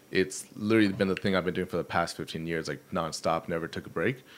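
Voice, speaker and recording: The recording is very clean and the background silent. Intonation remains fairly even. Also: man. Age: 20s. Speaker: internet personality. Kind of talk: casual chat. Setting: studio.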